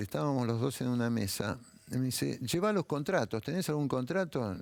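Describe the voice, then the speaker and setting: Talking fairly quickly, a man uses very wide pitch swings around a medium pitch. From Buenos Aires, Argentina (Mataderos). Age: 70s. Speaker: writer. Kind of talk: interview. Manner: animated.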